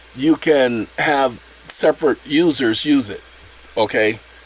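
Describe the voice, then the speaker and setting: A fairly high-pitched man with ordinary pitch variation is heard in a dry, close sound with no echo, amid noticeable background noise. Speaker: channel host explaining a self-made app. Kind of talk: casual tutorial.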